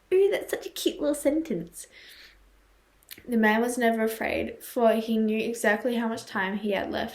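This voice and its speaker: The voice is quiet and moves at a moderate pace. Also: woman. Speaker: YouTuber reading horror stories. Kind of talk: reading aloud with commentary. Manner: halting, stumbles over words.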